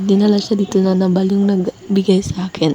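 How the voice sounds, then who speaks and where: Over noticeable background noise, a woman speaks at a medium pitch and a moderate pace. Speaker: vlogger. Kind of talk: vlog narration. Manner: casual, many fillers.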